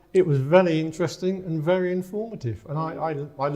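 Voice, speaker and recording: Very fast and high-pitched, a man speaks with an English accent and a dark, mellow tone. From England. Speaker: writer. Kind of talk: casual chat. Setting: winery.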